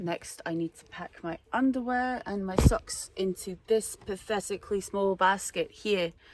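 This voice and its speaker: A woman in a Scottish accent, medium-pitched, at a fairly slow pace with hardly any pauses, ordinary pitch variation and big swings in loudness. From Scotland. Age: 20s. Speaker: van-life vlogger. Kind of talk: casual vlog talk to camera.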